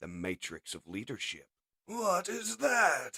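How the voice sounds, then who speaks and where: This man's voice is a put-on character voice. It sits high in pitch. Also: fairly slow pace. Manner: angry, bellowing.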